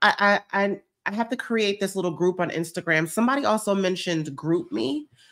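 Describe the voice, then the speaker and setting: Against a quiet background, a woman talks at a moderate pace with an animated tone and very wide pitch swings. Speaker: lifestyle vlogger and online coach; lifestyle vlogger, online coach. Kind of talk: casual livestream chat. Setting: live stream. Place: home room. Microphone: webcam.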